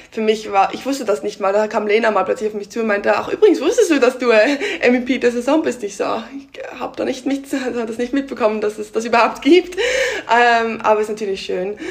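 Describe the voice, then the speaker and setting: Against noticeable background noise, a woman talks fairly quickly at a fairly high pitch with ordinary pitch variation. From Switzerland (Basel area). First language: Swiss German (speaking German). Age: 20s. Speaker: volleyball player. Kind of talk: interview. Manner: hesitant.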